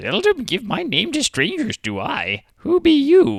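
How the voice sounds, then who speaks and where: A man puts on a cartoonish character voice at an extremely high pitch, speaking at a fairly slow pace. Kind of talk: comedic anime parody dub. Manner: odd inverted word order.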